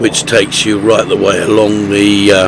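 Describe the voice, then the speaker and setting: A man speaks at a fairly slow pace in a fairly low voice. There is noticeable background noise behind him. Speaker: motorcycle vlogger. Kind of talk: voice-over commentary. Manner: hesitant, many fillers.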